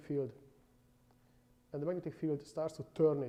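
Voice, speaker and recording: A man's fairly high-pitched voice with a non-native accent and a dark, mellow tone, very fast and fairly even in intonation. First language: not English. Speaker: university lecturer. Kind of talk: lecture. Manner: halting.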